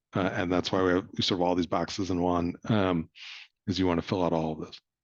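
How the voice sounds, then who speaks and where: A man with a very deep, low pitch talks at a very fast pace. His intonation is monotone and flat, with a quiet background. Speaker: nonprofit communications trainer. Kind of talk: presentation workshop. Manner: hesitant, many fillers.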